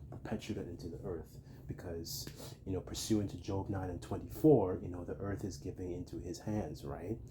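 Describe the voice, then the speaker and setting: At a moderate pace, a man with a very deep, low voice and vocal fry speaks with ordinary pitch variation. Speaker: religious teacher. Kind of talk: religious lesson. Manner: casual, hesitant with fillers.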